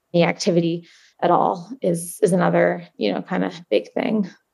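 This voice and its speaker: With an American accent, a woman speaks at a fairly slow pace in a medium pitch, her voice carrying vocal fry. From New Jersey, US. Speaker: ultramarathon runner. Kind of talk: interview.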